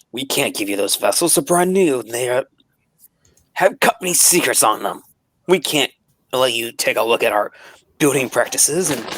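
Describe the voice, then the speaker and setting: In a put-on character voice, a man speaks raspy and fairly high at a moderate pace with long, frequent pauses, the sound dry and close with no echo. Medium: actual play. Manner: defensive, evasive.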